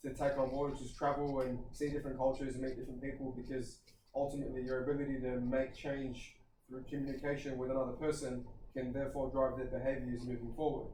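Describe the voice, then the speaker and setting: With an Australian accent, a man talks at a very fast pace in a medium pitch, his tone dark and mellow and his intonation monotone and flat, with audible room echo around him. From Australia, western Sydney. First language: Kurdish. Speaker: personal trainer and gym owner. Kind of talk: podcast interview.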